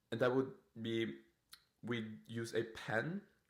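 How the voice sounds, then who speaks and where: This man's voice sits at medium pitch, with ordinary pitch variation. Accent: non-native. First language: not English. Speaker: permanent makeup artist and podcast host. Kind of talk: casual podcast monologue. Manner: animated; halting.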